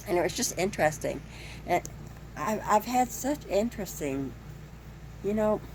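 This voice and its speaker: A woman speaks at a moderate pace. There is noticeable background noise behind her. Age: 70s. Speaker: nurse and vlogger. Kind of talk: casual vlog monologue. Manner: halting, with many repetitions.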